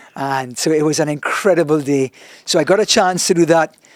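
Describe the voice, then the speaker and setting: At a fairly quick pace, a man with a strong Trinidadian accent speaks at a fairly high pitch, with a dry, close sound and no echo. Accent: thick Trinidadian. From Trinidad and Tobago. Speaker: soccer commentator. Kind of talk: casual interview chat. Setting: studio podcast, sitting across a table. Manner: tends to chew his words; animated.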